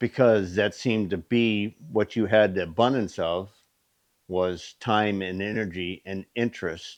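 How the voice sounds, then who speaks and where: Against a quiet background, a man speaks at a fairly slow pace with a fairly low pitch and fairly even intonation. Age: 60s. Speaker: machinist and shop owner. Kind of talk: casual shop talk video. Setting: workshop. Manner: casual with fillers and hesitations.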